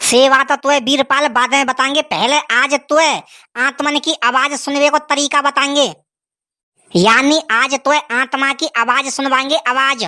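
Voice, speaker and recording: Set against a silent background in a very clean recording, a woman performs a cartoonish character voice at a high pitch and a moderate pace, with fairly even intonation, very even loudness and a dry, close sound with no echo. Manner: pompous, scolding.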